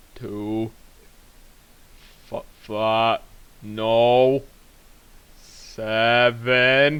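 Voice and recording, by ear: A man puts on a rumbling character voice. It sits at a medium pitch.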